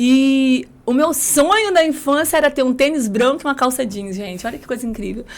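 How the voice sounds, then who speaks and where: A woman's moderately paced speech shows ordinary variation in pitch. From rural southern Espírito Santo, Brazil. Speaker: lawyer and women's mentor. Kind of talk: podcast interview, life story.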